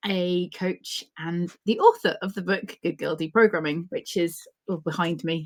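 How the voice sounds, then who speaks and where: A woman speaks in a British accent with a fairly low pitch and fairly even intonation. Her loudness swings widely. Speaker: organizational psychologist and author. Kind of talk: interview.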